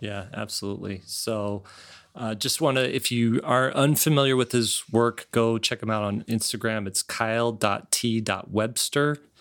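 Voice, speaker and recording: A man with an ordinary speaking voice and a medium pitch speaks at a fairly slow pace with fairly even intonation. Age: 40s. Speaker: podcast host and illustrator. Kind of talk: casual chat.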